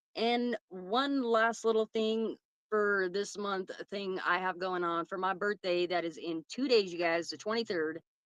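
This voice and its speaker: A woman's unremarkable speaking voice at a medium pitch and fairly slow pace, with a dry, close sound with no echo. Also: ordinary pitch variation. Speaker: podcast host. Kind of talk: casual chat.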